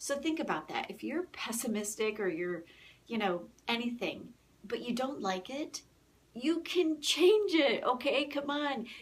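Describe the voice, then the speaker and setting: At a fairly slow pace, a woman speaks in a high pitch with very wide pitch swings. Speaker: motivational speaker. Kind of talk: live stream talk. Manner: soft-spoken.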